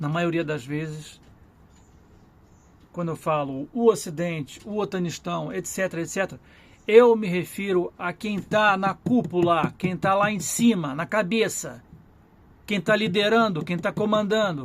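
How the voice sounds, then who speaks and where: A high-pitched man at a fairly slow pace, with long, frequent pauses. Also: ordinary pitch variation. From Brazil. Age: 60s. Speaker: vlogger and journalist. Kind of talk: political commentary monologue. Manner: repetitive, self-correcting.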